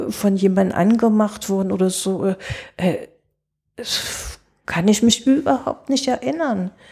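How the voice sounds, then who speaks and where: A woman speaks with a dark, mellow tone and a somewhat breathy quality. Her pitch is medium and her pace fairly slow. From East Germany, rural village. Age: 70s. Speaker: interview guest. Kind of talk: casual interview. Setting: studio.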